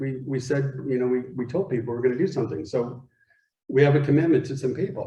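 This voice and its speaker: A man's fairly high, somewhat breathy voice with an American accent, dark and mellow in tone, with audible room echo. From Arizona. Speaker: guest speaker. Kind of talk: talk to a men's group. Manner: animated.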